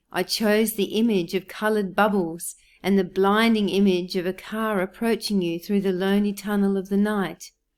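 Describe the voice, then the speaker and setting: An Australian accent in monotone, flat intonation at a moderate pace, in a very clean recording with a silent background. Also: woman. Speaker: poet. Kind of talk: educational commentary on poems.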